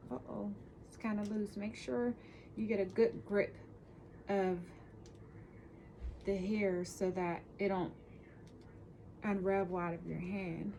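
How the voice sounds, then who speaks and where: Soft-spoken and somewhat breathy, a woman talks at a fairly slow pace in a dark, mellow tone, with long, frequent pauses and big swings in loudness. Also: medium pitch for a woman, ordinary pitch variation. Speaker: hair braiding tutor. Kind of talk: tutorial. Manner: casual, hesitant.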